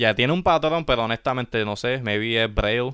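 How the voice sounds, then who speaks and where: A man is speaking. He has a Puerto Rican accent. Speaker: sneaker podcast co-host. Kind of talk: casual chat. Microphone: new microphone.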